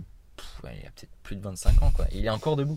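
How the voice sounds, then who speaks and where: A man's dark, mellow voice at a fairly quick pace, with lively intonation. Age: 20s. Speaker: podcast host. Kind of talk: casual interview. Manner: stammering.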